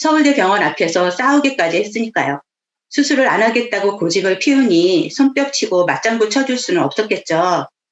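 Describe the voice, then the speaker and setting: Her pitch is fairly high and swings very widely. This woman keeps her loudness very even. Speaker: network marketing businesswoman. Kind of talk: motivational talk. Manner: clipped, abrupt speech; commanding tone.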